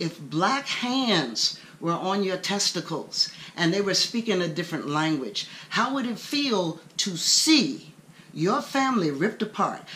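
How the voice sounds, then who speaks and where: A woman speaks at a fairly slow pace. Her pitch swings very widely. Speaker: commentator sharing her views. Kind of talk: personal opinion talk to camera. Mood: earnest, indignant. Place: home room. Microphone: webcam.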